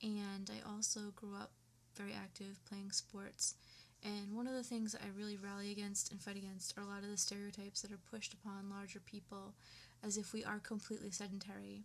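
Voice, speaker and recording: The speaker's somewhat breathy voice moves at a fairly quick pace in a flat monotone. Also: woman, medium pitch for a woman. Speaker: vlogger. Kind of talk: personal rant to webcam. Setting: webcam recording at home. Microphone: poor webcam audio.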